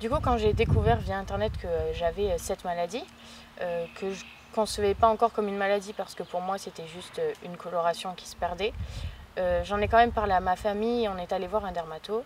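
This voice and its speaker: At a fairly quick pace, a woman talks in a medium pitch with fairly even intonation. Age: 20s. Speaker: patient with vitiligo. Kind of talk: testimony. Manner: hesitant, many fillers.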